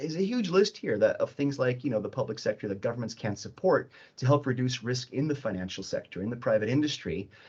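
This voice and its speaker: A somewhat breathy man at a very fast pace. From Switzerland. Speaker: cybersecurity expert, workshop panelist. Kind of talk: panel presentation. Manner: hesitant, many fillers and repetitions.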